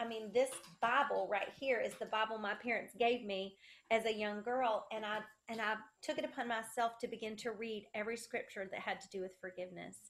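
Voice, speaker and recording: With a Southern US accent, a woman talks at a fairly quick pace in a fairly high pitch, her intonation fairly even but her loudness swinging widely. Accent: Southern US, country. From South Carolina. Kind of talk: interview, testimony. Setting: video call.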